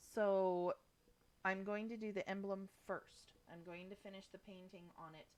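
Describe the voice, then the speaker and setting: A woman's voice with monotone, flat intonation. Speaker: crafter streaming rock painting. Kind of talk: live stream tutorial. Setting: live stream. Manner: casual, hesitant with many ums. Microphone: laggy stream from poor internet.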